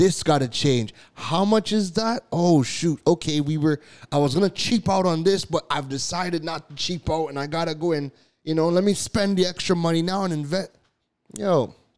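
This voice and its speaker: In a very clean recording with a silent background, a man with a high pitch talks at a moderate pace in an animated tone with ordinary pitch variation. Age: 30s. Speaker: business podcast host. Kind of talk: solo podcast monologue. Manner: animated, repetitive filler.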